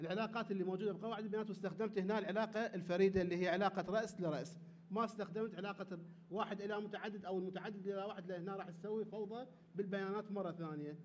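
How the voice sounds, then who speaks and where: Over light background noise, a man with an Iraqi accent talks at a very fast pace. His voice is high and his intonation is monotone and flat. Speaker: conference panel researcher. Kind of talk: conference talk. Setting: conference hall with audience. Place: hall. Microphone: podium.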